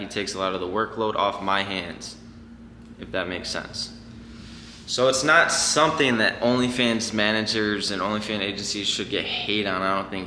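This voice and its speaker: A man at a fairly quick pace with a fairly low pitch and fairly even intonation, amid noticeable background noise and audible room echo. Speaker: online business owner, YouTuber. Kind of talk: casual vlog explainer. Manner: fast; casual, filler-heavy.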